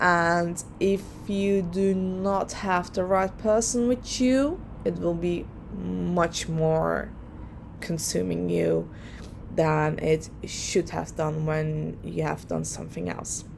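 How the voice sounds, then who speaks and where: With audible room echo around her, a woman talks at a very slow pace. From Netherlands. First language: Dutch. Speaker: lawyer and vlogger. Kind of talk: personal vlog advice. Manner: hesitant, many fillers.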